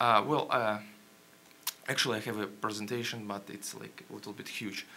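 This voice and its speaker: Light background noise sits behind a man speaking at a fairly low pitch with a Ukrainian accent in a monotone, flat intonation. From Ukraine. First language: Ukrainian or Russian. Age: young. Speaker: journalist. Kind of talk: panel presentation. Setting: stage with audience. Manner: halting. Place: hall.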